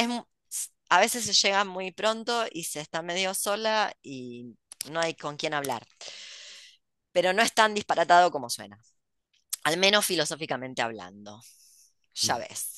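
Against a quiet background, a woman with a fairly low, bright and sharp voice talks at a fairly slow pace, with very wide pitch swings, big swings in loudness, and long, frequent pauses. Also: dry sound with no echo. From Argentina. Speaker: podcast host and writer; host. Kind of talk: casual chat. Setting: video call. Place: home room. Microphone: headset.

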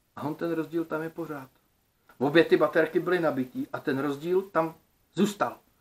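Fairly slowly, a man delivers his words. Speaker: DIY electronics video creator. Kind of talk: casual vlog monologue. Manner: colloquial, lots of filler words. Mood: thoughtful, slightly frustrated. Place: home room. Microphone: phone near.

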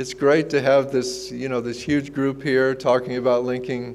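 Noticeable background noise accompanies a man's speech. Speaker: keynote speaker. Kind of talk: keynote speech. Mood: warm, smiling storytelling. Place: hall. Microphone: lapel.

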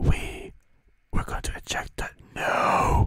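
A soft-spoken man whispering at a very slow pace, in a dry sound with no echo against a quiet background. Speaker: gaming video host. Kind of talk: let's play commentary, ASMR style. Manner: soft close-mic ASMR whisper. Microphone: studio mic.

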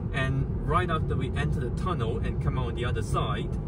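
A man talks at a moderate pace in a dry sound with no echo, with loud background noise. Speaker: driver reviewing his car. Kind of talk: commentary. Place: car.

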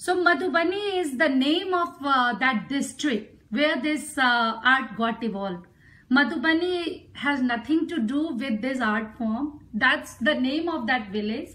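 A woman speaks in a raised, projected voice at a fairly slow pace, her high pitch carrying a bright, sharp tone and lively intonation. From India, Bihar. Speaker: folk artist; presenter. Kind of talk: live art demonstration. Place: home room. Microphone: phone near.

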